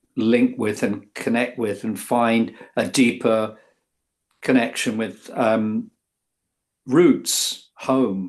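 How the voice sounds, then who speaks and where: This speaker is a man with an English accent. His voice sits at a medium pitch. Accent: sounds very English. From England. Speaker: author. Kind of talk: interview. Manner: halting, many fillers.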